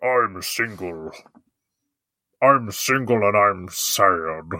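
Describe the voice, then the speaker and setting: Using a put-on character voice, a man speaks at a fairly low pitch and a very slow pace. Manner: sad, gloomy.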